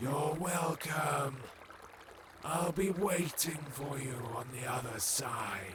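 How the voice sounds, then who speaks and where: A man puts on a character voice with a fairly high pitch, speaking at a very slow pace with long, frequent pauses. Clear background noise and a slight echo can be heard. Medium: machinima. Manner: calm, unhurried.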